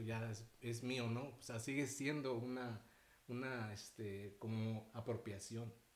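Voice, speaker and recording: This man's voice is somewhat breathy, and his intonation stays monotone and flat. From Mexico City. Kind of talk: casual panel discussion.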